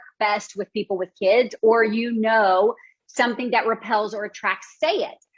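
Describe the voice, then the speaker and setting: The speaker has an American accent. The tone is animated. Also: woman. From US South. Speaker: business coach. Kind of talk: coaching session.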